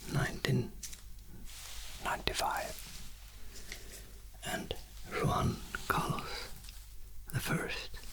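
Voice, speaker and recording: Whispered words come very slowly, broken by long, frequent pauses. Behind them, background noise is noticeable. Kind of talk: ASMR. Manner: soft-spoken, whispered.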